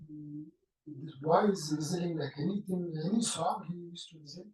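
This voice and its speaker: At a moderate pace, a man speaks with a high pitch. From India, Andhra Pradesh (Bapatla). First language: Telugu. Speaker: whistling musician. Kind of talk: interview, life story. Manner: halting, many fillers.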